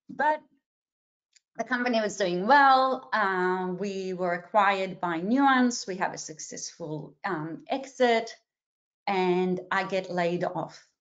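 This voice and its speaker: A woman speaks very slowly at a medium pitch with a non-native accent. Her intonation is lively. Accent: noticeable non-native. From Israel, then Australia from age 12. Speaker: career coach. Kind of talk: webinar presentation. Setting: video call webinar.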